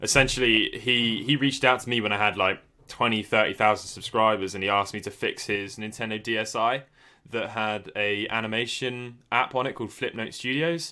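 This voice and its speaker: A man with a British accent speaks at a fairly quick pace in a medium pitch, his tone bright and sharp and his intonation fairly even. The recording is very clean, with a silent background. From Britain. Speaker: YouTuber, retro gaming channel host. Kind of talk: casual chat.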